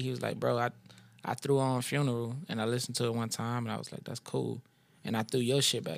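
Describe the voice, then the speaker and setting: Speaking in a Louisiana accent, the voice moves at a very fast pace with fairly even intonation. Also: man. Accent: US South, Louisiana. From New Orleans, Louisiana. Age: 30s. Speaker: rapper. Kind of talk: casual chat.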